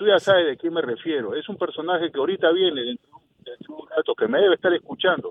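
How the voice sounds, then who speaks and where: A man's high voice at a very fast pace, with big swings in loudness. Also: lively intonation. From Peru. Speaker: caller. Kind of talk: phone-in rant. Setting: phone call.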